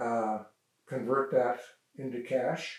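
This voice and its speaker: With a western Canadian accent, a man speaks at a medium pitch with fairly even intonation. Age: 80s+. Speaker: local elder sharing family history. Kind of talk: oral history interview. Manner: halting, many fillers.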